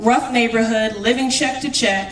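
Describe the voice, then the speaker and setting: With audible room echo and noticeable background noise, the talk proceeds at a moderate speed in an American accent. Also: woman. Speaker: city councilor. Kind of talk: award acceptance speech. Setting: stage with audience. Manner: loud; passionate.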